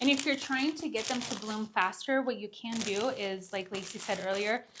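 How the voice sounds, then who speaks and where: A fairly high-pitched woman at a moderate pace, with ordinary pitch variation and noticeable background noise. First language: not English. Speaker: gardening YouTuber. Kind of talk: casual gardening tutorial. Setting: greenhouse. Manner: casual, filler-heavy.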